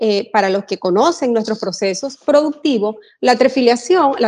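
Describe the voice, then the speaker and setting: A high-pitched woman with a Venezuelan accent, moderate pace and lively intonation. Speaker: general manager. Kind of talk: interview.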